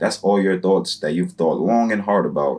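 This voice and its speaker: A man speaks at a very deep, low pitch. His voice carries vocal fry. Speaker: online business YouTuber. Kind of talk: advice tutorial monologue. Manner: fast; casual, many filler words.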